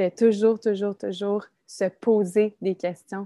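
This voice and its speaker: A woman's medium-pitched voice with a Quebec accent, dark and mellow in tone, flat and monotone, in a dry, close recording with no echo, very clean against a silent background. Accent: Québécois French. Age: 20s. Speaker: young mother, former daycare educator. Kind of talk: casual interview chat.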